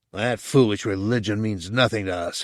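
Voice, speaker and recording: Using a put-on character voice, a man growls at a fairly low pitch, keeping a moderate pace and fairly even intonation. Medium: read story. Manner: indignant, sycophantic.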